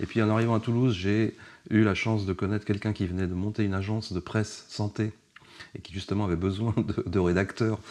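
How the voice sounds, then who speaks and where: The man talks at a fairly quick pace. His intonation is monotone and flat. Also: fairly low pitch for a man. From Paris region, France. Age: 60s. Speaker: journalist and author. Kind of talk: casual interview. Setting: at the guest's home.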